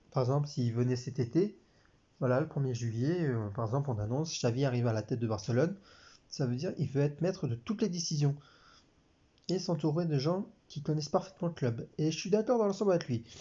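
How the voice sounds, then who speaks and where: A man's fairly high, somewhat breathy voice, very fast with lively intonation yet broken by long, frequent pauses. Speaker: sports commentator YouTuber. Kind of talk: casual talk to camera.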